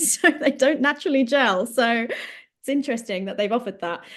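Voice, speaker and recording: Against a quiet background, a woman speaks in an English accent. Her pitch varies in an ordinary way. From England. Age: 20s. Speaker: podcast co-host, counselling student. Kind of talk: casual chat.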